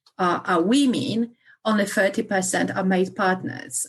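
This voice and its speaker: In a Polish accent, a woman speaks at a moderate pace in a medium-pitched, somewhat breathy voice. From Poland. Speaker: solicitor. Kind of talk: interview. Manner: halting, many fillers.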